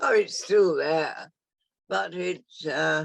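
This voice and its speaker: This woman speaks at a very slow pace. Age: 80s+. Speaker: former visitor of community. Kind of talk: casual chat.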